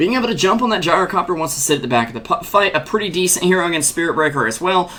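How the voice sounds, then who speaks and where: Amid noticeable background noise, a high-pitched man with an American accent speaks very fast with lively intonation. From US South, North Carolina. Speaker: esports commentator. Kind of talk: live commentary. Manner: animated.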